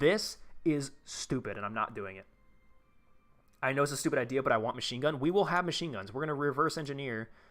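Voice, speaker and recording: Music plays in the background as a man talks at a very fast pace in a fairly high pitch. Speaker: gaming streamer. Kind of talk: live gameplay stream.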